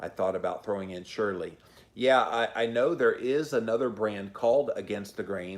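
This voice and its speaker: A man speaks at a fairly quick pace with a Southern US accent. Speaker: podcaster and YouTuber. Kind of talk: live-stream chat reading viewer comments. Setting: live stream.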